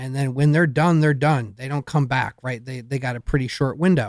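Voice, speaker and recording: A man with an American accent speaks at a fairly high pitch, recorded very cleanly against a silent background with a dry, close sound and no echo. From Michigan. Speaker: mushroom grower. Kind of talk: interview. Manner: halting.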